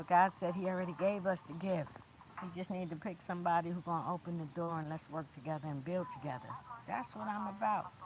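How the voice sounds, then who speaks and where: A woman talks at a very fast pace in a fairly low pitch. Her pitch varies in an ordinary way, with noticeable background noise behind her. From Brooklyn, New York. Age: 50s. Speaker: motivational speaker and indie artist. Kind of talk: livestream motivational talk. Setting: outdoors in a park. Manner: animated.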